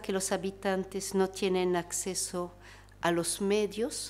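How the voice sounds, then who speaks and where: A woman speaks very slowly at a medium pitch, with a French accent. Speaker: researcher and panelist. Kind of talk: panel talk. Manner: halting, many fillers.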